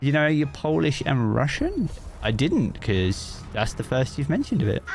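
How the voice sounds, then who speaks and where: Noticeable background noise sits behind a man whose loudness stays very even. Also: moderate pace. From Britain. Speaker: gaming streamer. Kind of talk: casual chat. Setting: live stream. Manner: halting.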